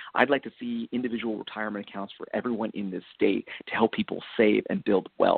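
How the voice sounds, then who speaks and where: A man with an American accent at a very fast pace, hardly any pauses. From upstate New York, near Binghamton. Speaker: political candidate. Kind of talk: interview.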